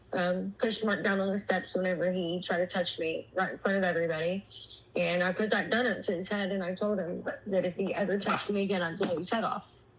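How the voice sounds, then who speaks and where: The woman speaks at a fairly quick pace. Her voice is somewhat breathy. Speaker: abuse survivor sharing life story. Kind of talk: testimony. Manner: halting.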